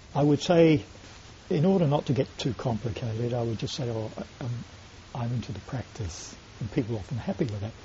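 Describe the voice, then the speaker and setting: Lively intonation over noticeable background noise. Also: man, medium pitch for a man. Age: 60s. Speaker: Buddhist monk, website webmaster. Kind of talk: interview in front of small audience. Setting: room with small live audience.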